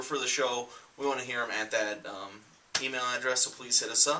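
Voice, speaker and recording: A man's voice sits at a medium pitch, with noticeable noise in the background. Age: 20s. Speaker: comic book show co-host. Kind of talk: casual chat.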